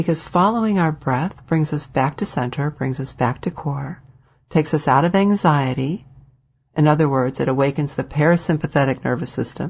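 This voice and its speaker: A woman with a very deep, low voice and ordinary pitch variation, recorded very cleanly against a silent background. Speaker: wellness practitioner and channel host. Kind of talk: motivational talk.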